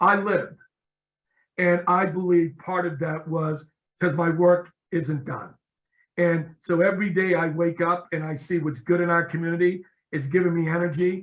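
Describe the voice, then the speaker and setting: This man speaks with a high pitch, a monotone, flat intonation and an American accent at a moderate pace. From Boston, Massachusetts (East Boston). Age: 60s. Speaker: nonprofit executive. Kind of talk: interview.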